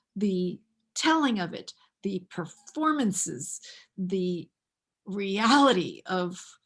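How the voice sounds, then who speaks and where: The voice is somewhat breathy and very slow, with very wide pitch swings and long, frequent pauses. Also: woman, medium pitch for a woman. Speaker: acting coach. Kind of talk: interview. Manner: halting, many fillers and repeated words.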